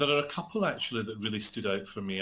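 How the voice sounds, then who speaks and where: A bright, sharp tone in a Scottish accent. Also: man. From Scotland. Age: 40s. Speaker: actor and author. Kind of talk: interview. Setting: call.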